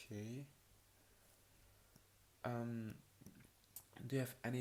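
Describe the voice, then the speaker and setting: At a fairly slow pace, a man speaks in a medium pitch with monotone, flat intonation. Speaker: ASMR creator playing an examiner. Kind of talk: ASMR roleplay, soft-spoken medical exam. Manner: soft-spoken, slow, with hesitations.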